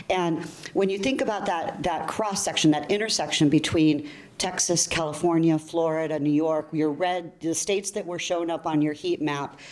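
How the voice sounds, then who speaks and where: At a moderate pace and fairly low pitch, a woman speaks with ordinary pitch variation over noticeable background noise. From US, child of Colombian immigrants. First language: Spanish. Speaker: bank technology executive. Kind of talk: panel discussion.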